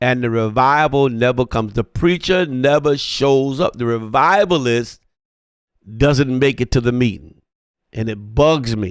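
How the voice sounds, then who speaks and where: At a fairly slow pace, a man with an ordinary speaking voice talks at a medium pitch with ordinary pitch variation. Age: 60s. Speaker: pastor. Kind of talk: sermon.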